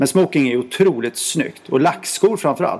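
Fairly quick speech with lively intonation over noticeable background noise. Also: man. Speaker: royal affairs journalist. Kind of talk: casual interview chat. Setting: magazine office.

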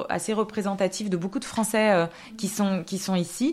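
At a moderate pace, the somewhat breathy voice shows ordinary pitch variation on a very clean recording with a silent background. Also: woman. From France, Alsace. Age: 30s. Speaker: epidemiologist. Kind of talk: interview. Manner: halting, many fillers and repetitions.

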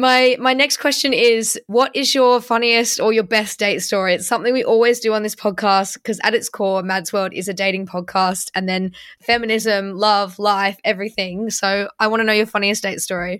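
A woman with an English accent, fairly high in pitch, with fairly even intonation at a moderate pace, in a very clean recording over a silent background. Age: 20s. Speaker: podcast host. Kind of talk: interview.

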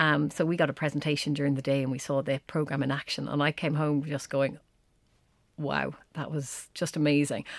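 On a very clean recording with a silent background, a woman in an Irish accent talks at a fairly quick pace, her voice very deep and low, with monotone, flat intonation. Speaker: exercise science lecturer. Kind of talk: interview.

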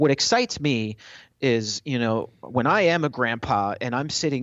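A man talks in an ordinary speaking voice at a medium pitch. His intonation is lively. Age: 40s. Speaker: tech company evangelist. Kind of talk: interview.

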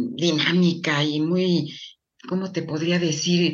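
A woman speaks at a very slow pace with a fairly low pitch and ordinary pitch variation. Her voice carries audible room echo. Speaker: medical geneticist. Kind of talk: interview.

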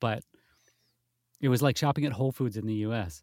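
A dark, mellow voice speaks with an American accent and ordinary pitch variation. The sound is dry and close with no echo, on a very clean recording with a silent background. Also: man. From US Midwest. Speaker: voice actor. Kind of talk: casual chat.

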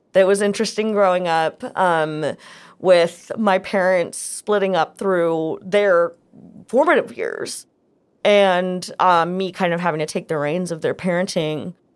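In a very clean recording with a silent background, a woman speaks at a fairly slow pace and medium pitch with fairly even intonation, in a plain, everyday voice. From United States, moved between many states. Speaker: podcast guest sharing life story. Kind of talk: personal storytelling interview. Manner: casual, with fillers and restarts.

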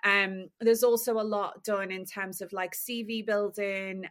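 A woman speaks at a fairly slow pace in a medium pitch. Her intonation stays monotone and flat. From Liverpool, England. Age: 30s. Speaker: fashion industry founder. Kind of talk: casual interview chat.

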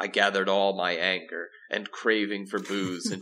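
The voice reads in a natural way. It sounds like a natural reading voice.

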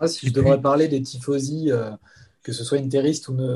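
This dark, mellow, somewhat breathy voice moves at a moderate pace with fairly even intonation. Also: man. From Paris region, France. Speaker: website editor-in-chief, Inter fan. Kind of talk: casual interview.

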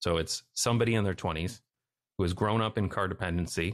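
A man with a Canadian accent speaks in a plain, everyday voice at a fairly low pitch. His intonation is fairly even, and the background is quiet. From Canada. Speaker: YouTuber on urban design. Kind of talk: interview conversation.

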